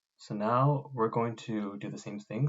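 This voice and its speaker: His voice is somewhat breathy. The man speaks at a medium pitch with ordinary pitch variation. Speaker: robotics club instructor. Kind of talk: tutorial. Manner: fast; casual.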